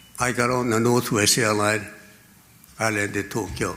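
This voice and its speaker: A man speaks over noticeable background noise. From Korea. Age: 80s+. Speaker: venture capitalist. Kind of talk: speech. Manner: halting.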